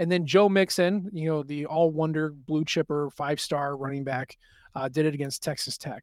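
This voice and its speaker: In a plain, everyday voice, a man speaks at a moderate pace and fairly high pitch with fairly even intonation. The recording is very clean with a silent background, a dry, close sound with no echo. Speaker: sports podcast host. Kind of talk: casual sports chat.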